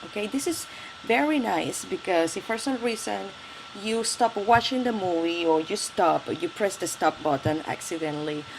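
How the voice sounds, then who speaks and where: A woman with a Spanish accent at a medium pitch, very wide pitch swings, and noticeable background noise. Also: moderate pace. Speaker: tech tutorial youtuber. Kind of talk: tutorial. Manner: halting.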